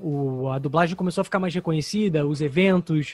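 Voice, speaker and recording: This man speaks fairly quickly with a Rio de Janeiro accent, a fairly high pitch and ordinary pitch variation. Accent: carioca. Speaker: actor and voice dubber. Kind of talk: interview.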